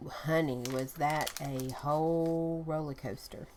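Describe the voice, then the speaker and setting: A soft-spoken woman talks in a very deep, low voice with ordinary pitch variation. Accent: Southern US. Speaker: collage artist. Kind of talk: casual talk to camera.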